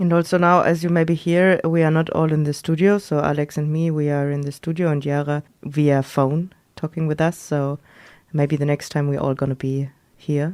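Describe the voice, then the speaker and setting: A woman with a non-native accent and a very deep, low pitch, monotone and flat in intonation, at a moderate pace against a quiet background. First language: not English. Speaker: radio host. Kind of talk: casual chat. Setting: studio.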